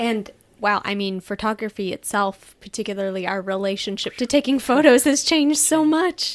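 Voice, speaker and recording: A woman speaks in an ordinary speaking voice, pitched fairly high. Her pace is moderate and her intonation lively. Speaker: podcast host. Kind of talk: podcast interview.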